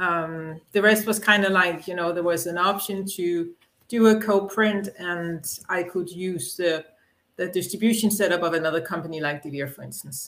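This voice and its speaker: With a Danish accent, a woman talks at a moderate pace in a fairly low voice with fairly even intonation. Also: big swings in loudness. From Denmark. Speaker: comic book publisher. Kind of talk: interview.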